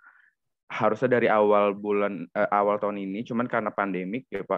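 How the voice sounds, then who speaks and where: Fairly low in pitch, a man speaks with fairly even intonation in an ordinary speaking voice. The sound is dry with no echo. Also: quiet background. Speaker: university student intern. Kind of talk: casual discussion. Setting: video call. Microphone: video call.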